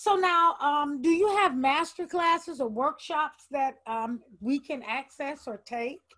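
Speaking at a fairly slow pace with hardly any pauses, a woman uses lively intonation and a high pitch. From Alabama. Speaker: podcast host and theater teacher. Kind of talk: interview.

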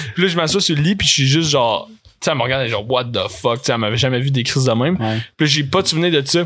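A man with a Quebec accent talks at a very fast pace, his fairly high voice carrying lively intonation. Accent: Québécois French. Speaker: podcast guest. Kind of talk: casual chat.

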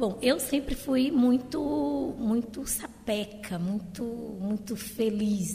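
A woman speaks at a fairly high pitch. Noticeable background noise runs beneath her voice. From Maranhão, Brazil. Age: 50s. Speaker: retired teacher. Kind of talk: interview conversation.

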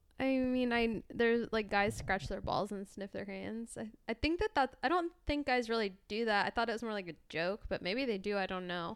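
A woman with a plain, everyday voice speaks at a fairly high pitch and a moderate pace, with lively intonation and hardly any pauses. The recording is very clean, with a silent background. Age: 20s. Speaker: podcast co-host. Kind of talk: casual chat.

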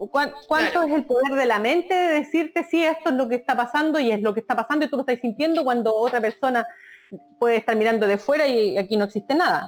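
Someone talks very fast with lively intonation and very even loudness over noticeable background noise. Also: woman, high pitch for a woman. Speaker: podcast guest. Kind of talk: casual chat.

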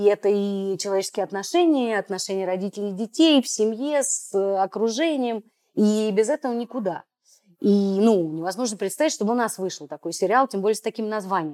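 A woman speaks at a medium pitch with a dark, mellow tone and lively intonation. The recording is very clean, with a silent background. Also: fairly quick pace, dry, close sound with no echo. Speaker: podcast host. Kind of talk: casual interview discussion.

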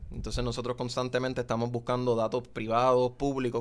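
The man talks at a very fast pace with medium pitch. His delivery is monotone, with flat intonation. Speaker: economist. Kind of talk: interview.

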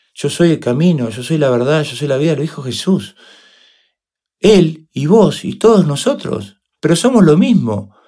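A man with a fairly high pitch, a dark, mellow tone and vocal fry speaks with very wide pitch swings. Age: 50s. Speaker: motivational speaker and coach. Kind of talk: interview.

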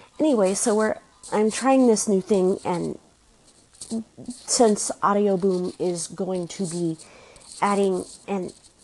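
Over noticeable background noise, the speaker goes at a very slow pace with long, frequent pauses and ordinary pitch variation. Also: woman, medium pitch for a woman. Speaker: podcaster. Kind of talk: casual chat. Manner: halting.

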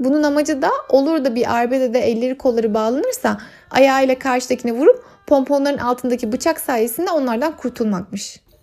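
High female speech at a rather brisk tempo, with pitch shifting in a typical way. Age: 30s. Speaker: podcast host. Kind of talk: solo travel monologue. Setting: at home.

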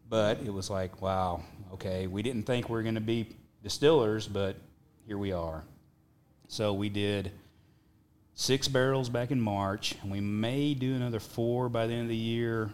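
With a Texas accent and a fairly low pitch of ordinary variation, a man talks at a moderate pace broken by long, frequent pauses. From Texas Panhandle. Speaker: whiskey brand owner. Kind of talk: casual chat.

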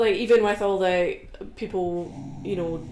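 A woman speaks with a Scottish accent over noticeable background noise. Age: 20s. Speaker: powerlifter. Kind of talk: casual chat.

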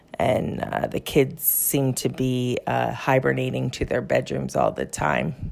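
A woman with an American accent at a very slow pace, hardly any pauses, and noticeable background noise. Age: 40s. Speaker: interviewee, casino worker. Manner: hesitant, filler words.

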